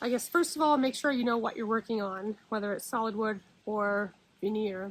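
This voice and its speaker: A woman speaks at a fairly high pitch with ordinary pitch variation and a slight Nova Scotian accent. The recording is very clean, with a silent background. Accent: Nova Scotian, slight, shows on a few words. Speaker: furniture refinisher. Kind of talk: tutorial. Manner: casual.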